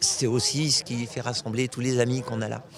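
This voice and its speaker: Moderate-paced male speech over clearly audible background noise. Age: 70s. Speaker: cycling club president. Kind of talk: interview. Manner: halting, emotional.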